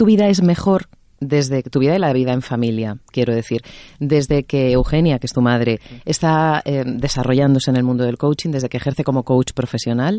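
The pace is moderate. The background is quiet. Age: 40s. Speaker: talk show host. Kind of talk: interview.

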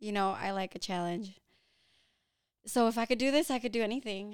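A woman with a fairly high pitch and an animated tone speaks at a moderate pace with ordinary pitch variation on a very clean recording with a silent background. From Philippines, moved to US at eight. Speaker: Airbnb entrepreneur. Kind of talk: podcast interview.

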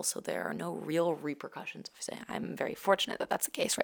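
In an American accent, a woman speaks in an animated tone, the sound dry and close with no echo but with noticeable background noise. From US Northeast, Brooklyn, New York. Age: 20s. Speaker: student and startup co-founder. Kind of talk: interview.

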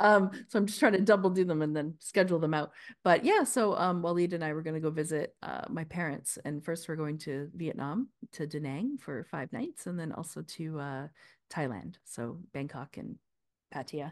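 Against a quiet background, a woman with a Canadian accent speaks at a moderate pace in a very deep, low pitch, her intonation lively and her loudness swinging widely. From Canada. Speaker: podcast co-host, healthcare practitioner. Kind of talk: casual chat.

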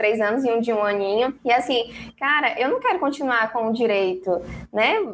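This woman has an ordinary speaking voice, pitched fairly high, moving at a fairly quick pace with ordinary pitch variation. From São Luís, Maranhão, Brazil. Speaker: financial educator. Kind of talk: interview. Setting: live stream / video call.

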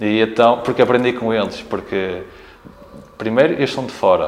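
Over noticeable background noise, a man talks fairly quickly at a medium pitch with fairly even intonation. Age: 30s. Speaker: retired professional basketball player. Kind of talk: casual interview. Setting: team locker room.

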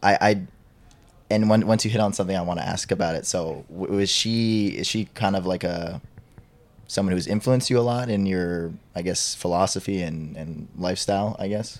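At a moderate pace, a man with an ordinary speaking voice talks in a fairly low pitch that varies in an ordinary way. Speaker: podcast host. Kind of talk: casual interview chat.

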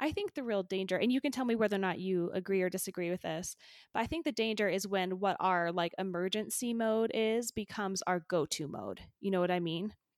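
In a very clean recording with a silent background and a dry, close sound with no echo, a woman with an American accent and a normal speaking voice talks at a fairly quick pace with hardly any pauses, her medium pitch showing ordinary variation. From Utah. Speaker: podcast host. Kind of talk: casual interview chat.

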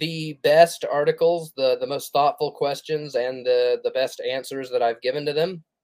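A man with a normal speaking voice talks at a moderate pace, his pitch fairly high. His pitch variation is ordinary. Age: 30s. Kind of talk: casual livestream monologue; reading aloud. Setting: live stream.

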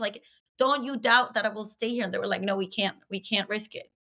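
Fairly high in pitch, a woman's voice carries a bright, sharp tone and ordinary pitch variation. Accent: Spanish. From Venezuela. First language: Spanish. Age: 30s. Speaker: comedian and podcaster. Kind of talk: casual chat.

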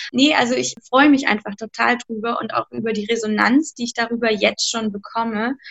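A woman talks at a moderate pace in a high voice with ordinary pitch variation. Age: 30s. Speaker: art educator and author. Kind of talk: interview.

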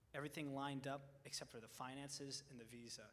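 Amid audible room echo, a man speaks in a bright, sharp tone with monotone, flat intonation. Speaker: college student. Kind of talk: testimony. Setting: church.

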